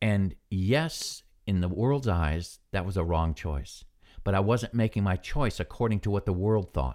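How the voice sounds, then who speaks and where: With an American accent, a man speaks in a normal speaking voice at a fairly low pitch, with lively intonation, a fairly slow pace and very even loudness, on a very clean recording with a silent background. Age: 60s. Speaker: Bible devotional podcaster, retired military. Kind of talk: devotional. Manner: relaxed, conversational, reflective, with filler words.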